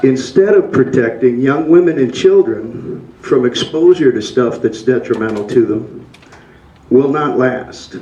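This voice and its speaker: Against noticeable background noise, a man talks at a fairly slow pace and medium pitch with ordinary pitch variation. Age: 60s. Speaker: public commenter. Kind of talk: public comment.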